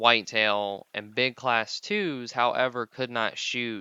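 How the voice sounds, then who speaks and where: A man is speaking. His pace is very slow. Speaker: gaming youtuber. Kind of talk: gameplay commentary tutorial. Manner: stumbling over words.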